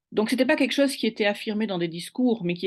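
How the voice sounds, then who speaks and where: A woman speaks with ordinary pitch variation. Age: 60s. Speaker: university administrator. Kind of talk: testimony. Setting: online webinar. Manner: hesitant, many fillers.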